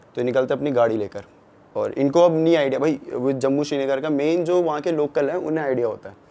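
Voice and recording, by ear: Talking at a fast pace, a man with a dark, mellow tone and vocal fry keeps a medium pitch and ordinary pitch variation.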